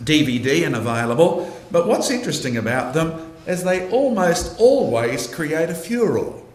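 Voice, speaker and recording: A fairly high-pitched man with an Australian accent makes very wide pitch swings. Room echo and noticeable background noise are audible. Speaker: creationist speaker. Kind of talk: lecture. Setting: university lecture theatre with audience.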